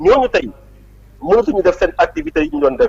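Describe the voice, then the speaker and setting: The pitch of this man's voice swings very widely. The sound is dry and close, with no echo. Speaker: politician. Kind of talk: interview.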